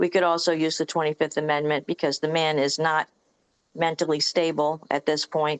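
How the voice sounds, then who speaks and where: The recording is dry and close with no echo, carrying a woman's very deep, low voice. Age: 60s. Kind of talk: personal testimony in online meeting.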